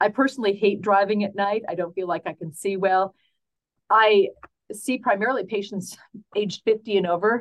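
Using an ordinary speaking voice, the speaker talks at a moderate pace with fairly even intonation. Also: woman, medium pitch for a woman. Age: 60s. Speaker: optometrist. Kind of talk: expert interview.

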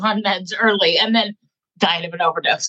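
Speaking in a normal speaking voice with an American accent, a woman keeps a moderate pace and lively intonation. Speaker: advocate.

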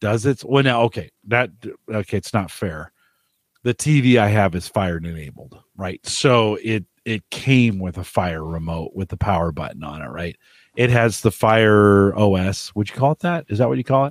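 A man speaks with lively intonation at a fairly low pitch. The very clean recording has a silent background and a dry, close sound with no echo. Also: moderate pace. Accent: Midwestern US. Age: 50s. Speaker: podcast host. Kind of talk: casual chat. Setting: home studio.

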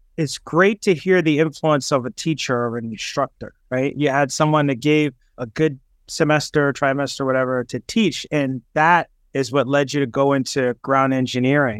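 A man speaks in a normal speaking voice, fairly high in pitch, with ordinary pitch variation. The sound is dry and close with no echo. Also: moderate pace. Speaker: podcast host. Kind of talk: interview. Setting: video call.

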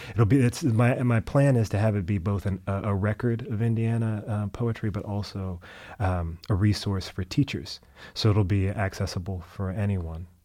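Against a silent background on a very clean recording, a man with a dark, mellow tone and fairly low pitch talks at a moderate pace with ordinary pitch variation. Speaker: poet and professor. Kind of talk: interview. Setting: studio. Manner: quiet, restrained.

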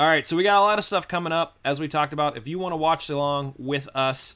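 In a very clean recording with a silent background, a man with an American accent speaks in a bright, sharp tone with ordinary pitch variation. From Pittsburgh, Pennsylvania. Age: 30s. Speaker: podcast host. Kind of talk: casual chat.

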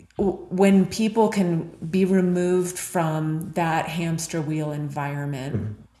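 A woman speaks at a fairly low pitch with ordinary pitch variation and a fairly slow pace. She hardly pauses, and audible room echo surrounds her voice. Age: 40s. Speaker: leadership consultant. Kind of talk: interview.

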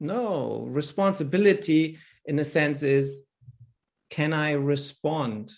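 A man with a German accent, very slow pace, fairly high pitch, and ordinary pitch variation. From Germany, Berlin. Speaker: business coach and author. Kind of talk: interview.

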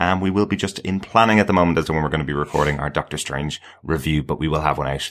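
Talking at a very fast pace, a man with a very deep, low voice shows ordinary pitch variation. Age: 40s. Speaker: podcast co-host. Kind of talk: casual chat.

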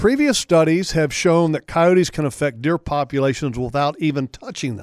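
With an ordinary speaking voice, a man talks at a moderate pace in a fairly high pitch with lively intonation, the sound dry and close with no echo. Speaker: radio host. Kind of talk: casual chat.

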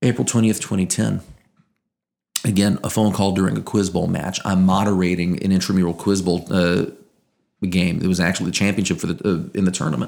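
Very deep and low, this man's voice moves at a fairly quick pace. His loudness stays very even and his intonation fairly even. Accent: slight Southern Louisiana. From Louisiana, Acadiana. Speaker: morning radio show co-host and sports broadcaster. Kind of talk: casual interview chat.

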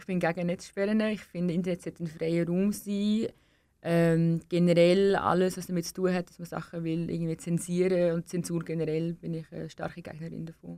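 A woman's dark, mellow voice, monotone and flat in intonation, with big swings in loudness. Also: fairly low pitch for a woman, moderate pace. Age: 20s. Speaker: young political candidate. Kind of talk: radio interview. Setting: studio.

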